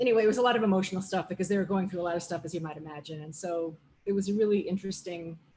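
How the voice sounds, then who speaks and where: Breath is somewhat audible in this voice. The intonation is fairly even. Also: woman. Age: 50s. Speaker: visual artist and art teacher. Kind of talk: art talk presentation.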